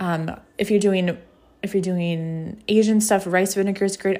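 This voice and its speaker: A woman's medium-pitched voice has a warm tone and monotone, flat intonation. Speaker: podcast host and blogger. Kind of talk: casual solo podcast talk with recipe. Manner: talks fast, mumbles, trips over words; warm, conversational, encouraging.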